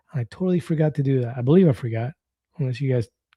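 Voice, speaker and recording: The voice is a man's, medium-pitched, somewhat breathy and dark and mellow in tone, with ordinary pitch variation. He talks very fast, and the sound is dry and close with no echo. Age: 50s. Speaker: weight-loss vlogger. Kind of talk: live stream chat reading comments. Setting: live stream.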